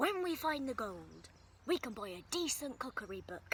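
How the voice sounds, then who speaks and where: A woman's high-pitched, put-on character voice at a moderate pace, with clear background noise. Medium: read story.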